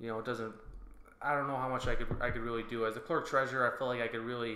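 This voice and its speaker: A speaker with an American accent is heard with audible echo from the room. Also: man. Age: 20s. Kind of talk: casual interview.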